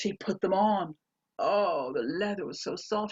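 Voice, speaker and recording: A woman talks at a moderate pace in a medium pitch. Vocal fry runs through her voice. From Canada. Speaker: storyteller. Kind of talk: storytelling performance, ghost story.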